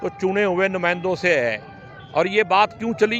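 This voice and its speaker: There is music in the background. A man speaks with a high pitch. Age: 60s. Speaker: politician. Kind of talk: interview. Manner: animated.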